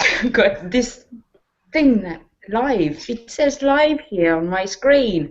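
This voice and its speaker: Speaking at a very slow pace with a British accent, a woman lets her pitch swing very widely. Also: fairly high pitch for a woman. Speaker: show panelist.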